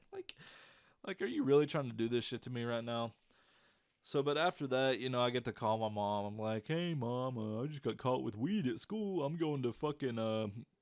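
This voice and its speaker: A man with a Southern US accent talks at a moderate pace and medium pitch, with ordinary pitch variation. The recording is very clean, the background silent. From US South. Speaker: YouTuber. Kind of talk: storytelling. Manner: animated; casual.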